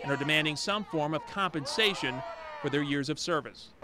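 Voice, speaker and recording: Against noticeable background noise, a man speaks fairly quickly in a fairly high pitch with a dramatic tone. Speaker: TV news reporter. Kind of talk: news reporting. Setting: studio. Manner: formal, brisk, dramatic newscast delivery.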